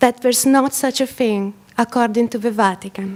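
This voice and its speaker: With an Italian accent, the speaker talks at a fairly slow pace. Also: woman. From Italy. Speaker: photographer. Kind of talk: presentation. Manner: soft-spoken.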